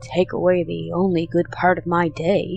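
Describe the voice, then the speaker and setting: A raspy, growling put-on character voice speaks at a moderate pace. Clear music plays in the background. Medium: read story.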